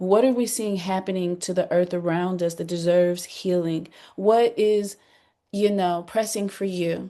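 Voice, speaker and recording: Against a quiet background, a woman speaks at medium pitch with a dark, mellow tone. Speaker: workshop facilitator. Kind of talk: group workshop facilitation.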